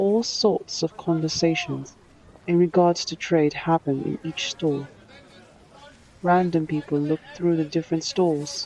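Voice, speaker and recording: Against noticeable background noise, a woman with a fairly low pitch and fairly even intonation speaks at a fairly slow pace. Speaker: author reading own book. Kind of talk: audiobook narration.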